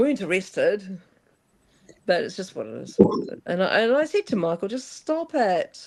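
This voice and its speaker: Pausing long and often, a woman talks at a moderate pace. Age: 60s. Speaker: legal self-administration advocate. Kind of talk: casual group discussion. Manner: hesitant, many restarts.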